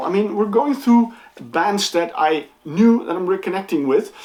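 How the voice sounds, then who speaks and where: With a non-native accent, a woman speaks in a medium pitch at a moderate pace. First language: not English. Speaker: music reviewer and channel host. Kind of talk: casual vlog. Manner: halting, many fillers and repeats.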